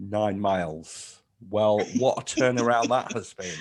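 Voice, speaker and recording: A man with an ordinary speaking voice, fairly low in pitch, with ordinary pitch variation and a fairly slow pace. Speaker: newspaper writer. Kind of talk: casual podcast chat.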